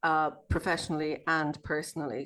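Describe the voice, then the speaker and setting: Over a quiet background, a woman with an Irish accent talks at a fairly quick pace in a very deep, low pitch. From Ireland. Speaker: sociologist and abuse survivor support coach. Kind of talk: podcast interview.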